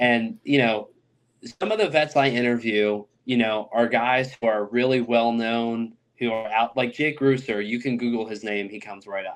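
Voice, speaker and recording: A man with an American accent talks at a moderate pace in a plain, everyday voice. His pitch sits in the middle and his intonation is fairly even. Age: 20s. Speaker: oral historian interviewing war veterans. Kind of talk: podcast interview. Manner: casual, filler-heavy.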